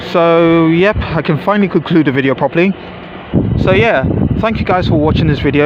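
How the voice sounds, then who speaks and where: Fairly quick speech from a man, with noticeable background noise behind him. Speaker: trainspotting vlogger. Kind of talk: live commentary. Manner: halting.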